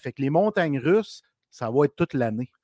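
On a very clean recording with a silent background and a dry, close sound without echo, a man with a Quebec accent speaks at a moderate pace, his fairly high voice carrying lively intonation. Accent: Québécois French. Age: 40s. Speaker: hockey podcast co-host. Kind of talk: casual chat.

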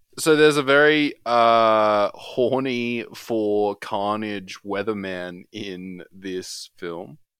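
Speaking at a very slow pace with hardly any pauses, a man with an Australian accent has a fairly low pitch, ordinary pitch variation and big swings in loudness. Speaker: film podcast co-host. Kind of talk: casual chat.

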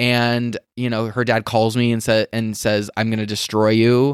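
An unremarkable speaking voice, a man's at medium pitch, comes at a moderate pace in a dry, close sound with no echo on a very clean recording with a silent background. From US West, Las Vegas. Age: 30s. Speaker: blogger and entrepreneur. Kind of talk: casual interview chat. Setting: at home in his apartment.

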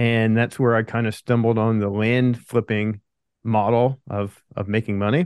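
A man with an American accent, monotone and flat in intonation, at a moderate pace. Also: medium pitch for a man, quiet background. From Pennsylvania. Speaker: land investor. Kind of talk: interview.

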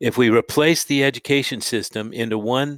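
In a very clean recording with a silent background and a dry, close sound with no echo, a man with an American accent speaks in a normal speaking voice at a moderate pace with ordinary pitch variation. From California. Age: 60s. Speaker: podcast host. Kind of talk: interview; scripted statement.

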